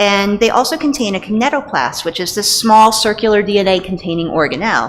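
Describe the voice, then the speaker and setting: A woman's lively intonation in a strong Northeastern US accent. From US Northeast. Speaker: pediatrician and parasitology researcher. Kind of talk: lecture. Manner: fast.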